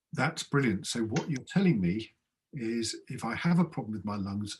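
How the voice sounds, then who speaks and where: A somewhat breathy man's voice at a medium pitch. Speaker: general practitioner doctor. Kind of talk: medical webinar conversation.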